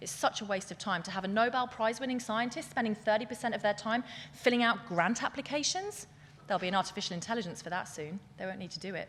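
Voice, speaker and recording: A woman with a British accent speaks very fast in an animated tone, her loudness swinging sharply. Her pitch sits fairly high, with ordinary variation. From England. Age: 40s. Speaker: scientific futurist, keynote speaker. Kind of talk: keynote speech. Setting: stage with audience.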